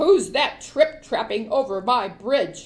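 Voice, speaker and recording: Bellowing and gruff in a put-on character voice, a woman speaks at a fairly slow pace in a fairly high pitch. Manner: roaring, gruff.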